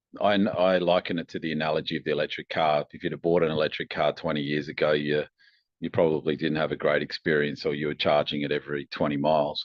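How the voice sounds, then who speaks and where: With an Australian accent, a man talks at a very fast pace in a very deep, low voice with monotone, flat intonation. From Australia (Adelaide). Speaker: company founder and engineer. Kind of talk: interview.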